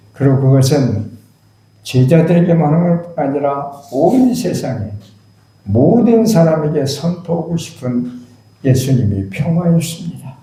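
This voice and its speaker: A man's very slow, fairly high-pitched speech with lively intonation, audible room echo and noticeable background noise. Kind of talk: sermon.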